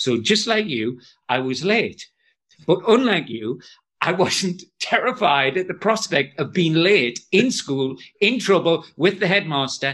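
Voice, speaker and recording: A man with a Geordie accent speaks in a high pitch at a fairly slow pace. His pitch swings very widely. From northeast England (Jarrow, Tyneside). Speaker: education author and trainer. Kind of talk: casual interview chat.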